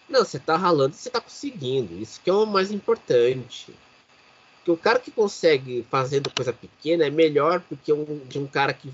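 Against noticeable background noise, a man with a fairly high pitch speaks at a fairly quick pace, his loudness swinging widely. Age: 30s. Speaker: podcast host. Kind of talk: casual chat.

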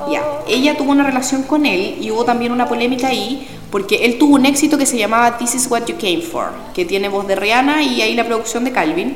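Over noticeable background noise and audible room echo, a woman talks very fast at a high pitch with ordinary pitch variation. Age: 20s. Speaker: student radio columnist. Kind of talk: casual chat.

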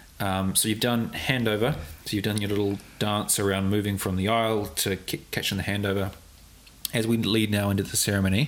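There is noticeable background noise as a man speaks in a fairly low voice with very even loudness and fairly even intonation. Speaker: podcast host and wedding videographer. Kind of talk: casual interview. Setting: studio, on camera. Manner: fast.

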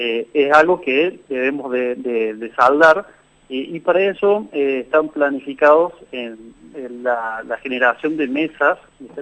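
Loudness swings widely as a man with a fairly high pitch and ordinary pitch variation speaks at a very slow pace. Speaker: biologist. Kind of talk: interview.

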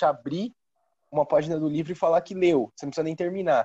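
Fairly high-pitched for a man, his voice has a dark, mellow tone and a dry, close sound with no echo. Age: 20s. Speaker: author and student. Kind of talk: casual chat.

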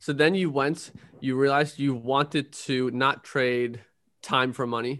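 Pausing often and at length, a man speaks at a medium pitch. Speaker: podcast host. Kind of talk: casual interview chat.

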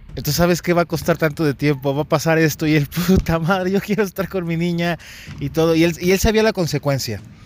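Animated in tone, a man talks at a moderate pace. His voice is fairly high, with ordinary pitch variation. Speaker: podcast host. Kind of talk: casual chat. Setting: outdoors.

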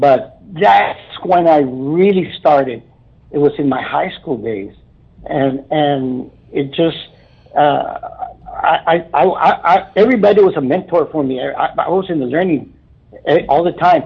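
With a South Texas accent and lively intonation, a man talks at a fairly high pitch over noticeable background noise. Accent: South Texas Mexican-American English. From Brownsville, Texas. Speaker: keyboardist. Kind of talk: interview. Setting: phone call.

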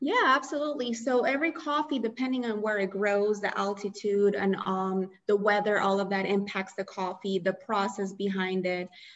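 Over noticeable background noise, a woman talks at a moderate pace and medium pitch with ordinary pitch variation and hardly any pauses. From Colombia. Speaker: coffee roaster and shop owner. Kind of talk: interview.

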